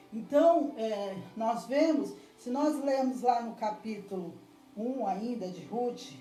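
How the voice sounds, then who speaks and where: A woman with a fairly high voice speaks at a very slow pace, her loudness swinging widely. Music plays in the background, and the room echo is audible. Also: lively intonation. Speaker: preacher. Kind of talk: sermon. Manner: halting.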